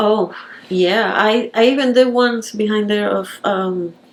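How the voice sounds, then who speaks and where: Noticeable background noise runs under a woman's voice. She talks fairly slowly at a fairly high pitch with ordinary variation. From Puerto Rico. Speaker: painter. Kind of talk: interview answer.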